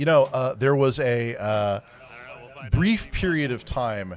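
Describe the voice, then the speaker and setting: A man at a very slow pace. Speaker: sim racing broadcast commentator. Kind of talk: live commentary. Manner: loud.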